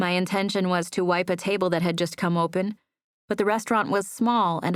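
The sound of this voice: The background stays quiet. An unforced reading voice keeps its intonation fairly even.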